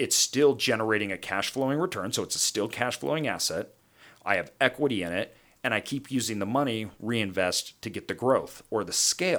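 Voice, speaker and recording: This man talks at a medium pitch with lively intonation and an animated tone. The recording is very clean, with a silent background. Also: fairly quick pace. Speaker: podcast host and real estate investor. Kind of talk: casual monologue on investing. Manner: long-winded, animated.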